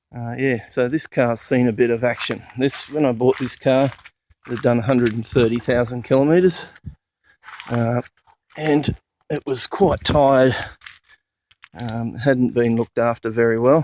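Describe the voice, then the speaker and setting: With an Australian accent, a man speaks at a fairly slow pace with fairly even intonation and long, frequent pauses, the sound dry and close with no echo. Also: medium pitch for a man. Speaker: four-wheel drive enthusiast. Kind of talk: casual vehicle walkaround talk to camera. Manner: hesitant, many fillers.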